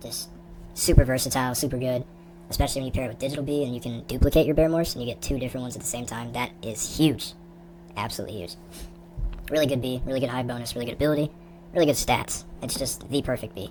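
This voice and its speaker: A woman with a very deep, low pitch speaks very fast with ordinary pitch variation and long, frequent pauses. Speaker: gaming youtuber. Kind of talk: tier list commentary. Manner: sped up; casual, hesitant.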